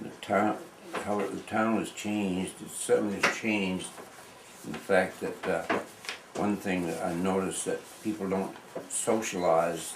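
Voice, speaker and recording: A man's very deep, low voice with fairly even intonation, noticeable background noise and audible room echo. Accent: American. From New England, US (Palmyra, Maine). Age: 80s+. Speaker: local elder, farmer. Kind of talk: oral history interview. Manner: halting, many fillers.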